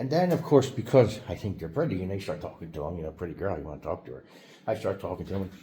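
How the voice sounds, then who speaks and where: A man with an American accent, talking at a very fast pace in a fairly low pitch, somewhat breathy. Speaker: YouTuber. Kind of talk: casual monologue vlog. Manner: halting, many fillers and restarts.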